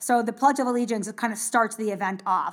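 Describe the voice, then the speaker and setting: An animated tone and ordinary pitch variation mark this voice with an American accent. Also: woman. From United States. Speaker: Paralympic triathlete and army veteran. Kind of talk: interview.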